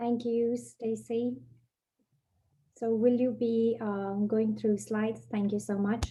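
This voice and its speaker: The voice has a dark, mellow tone, somewhat breathy, with a monotone, flat intonation. It moves at a very slow pace, broken by long, frequent pauses. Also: woman, fairly high pitch for a woman. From Nepal. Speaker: university international programs director. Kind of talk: webinar presentation.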